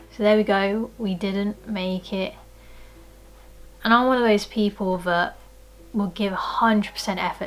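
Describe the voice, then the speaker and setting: A woman speaks at a fairly slow pace with a British accent. Her pitch is medium and her intonation monotone and flat. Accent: British-accented Asian speaker. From Philippines. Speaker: personal trainer and lifestyle vlogger. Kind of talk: casual talk to camera.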